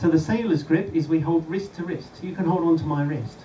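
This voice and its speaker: A man at a moderate pace with light background noise. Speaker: presenter. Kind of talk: safety briefing talk. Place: boat. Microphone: camera far.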